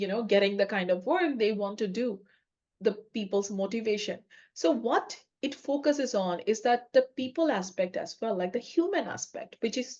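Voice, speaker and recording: A woman with a non-native accent and a fairly high pitch. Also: lively intonation, moderate pace. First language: not English. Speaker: podcast co-host, agile coach. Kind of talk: casual chat.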